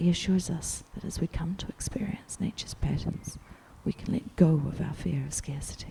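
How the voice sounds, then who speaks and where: The woman is whispering at a medium speed. Background noise can be clearly heard. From New Zealand. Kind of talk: quiet audiobook-style reading for ASMR. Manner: quiet, soft-spoken.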